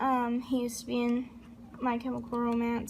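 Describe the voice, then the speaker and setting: Audible room echo is present on this recording. A woman talks through it at a moderate pace. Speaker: YouTuber. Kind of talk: casual vlog talk. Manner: hesitant, many ums.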